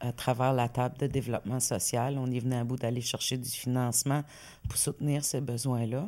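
Very clean, with a silent background, the recording catches a woman's very deep, low voice with a dark, mellow tone, fairly even intonation and a moderate pace. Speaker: community organization director. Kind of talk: casual interview. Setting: studio with camera.

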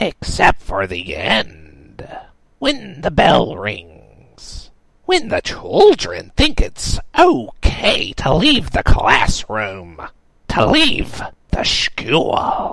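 The delivery is a put-on character voice. It moves at a very slow pace. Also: man. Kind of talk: horror comedy villain. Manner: shrieking, erratic, menacing.

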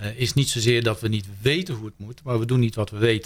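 At a very fast pace, a man speaks in a somewhat breathy voice of medium pitch. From Netherlands, Brabant. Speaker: happiness speaker. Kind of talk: radio interview. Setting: studio.

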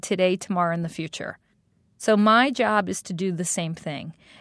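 A woman with a New York accent talks at a moderate pace in a medium pitch. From New York City, Staten Island. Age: 50s. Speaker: design executive. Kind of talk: interview. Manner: animated.

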